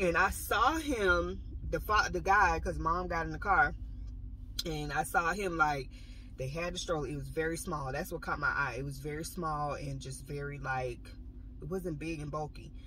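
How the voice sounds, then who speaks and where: Moderate pace, a dry sound with no echo, and light background noise. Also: woman. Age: 30s. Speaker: vlogger; pregnancy vlogger. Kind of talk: casual vlog monologue. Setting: in a car in a parking lot. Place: car. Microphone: phone near.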